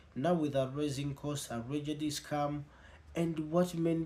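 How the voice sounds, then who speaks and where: A man talks at a fairly slow pace in a fairly high, somewhat breathy voice. His intonation stays fairly even. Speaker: news commentary host. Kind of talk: scripted narration.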